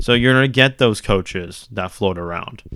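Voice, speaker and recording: A man has an ordinary speaking voice with ordinary pitch variation at a moderate pace. The recording is very clean, with a silent background. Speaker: student sports podcaster. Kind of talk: solo sports commentary podcast. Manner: casual, filler-heavy.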